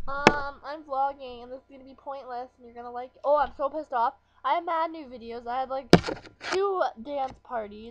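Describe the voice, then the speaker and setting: Mumbled speech at a fairly quick pace, with big swings in loudness and ordinary pitch variation, is heard over loud background noise. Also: woman, high pitch for a woman. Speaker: vlogger. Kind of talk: casual vlog talk to camera. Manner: mumbling. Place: home room. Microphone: webcam.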